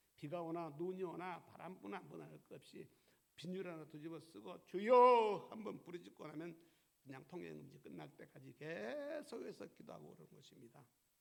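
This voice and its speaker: A man speaks at a moderate pace with big swings in loudness, and audible room echo fills the recording. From South Korea. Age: 70s. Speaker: pastor. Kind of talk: sermon. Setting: church.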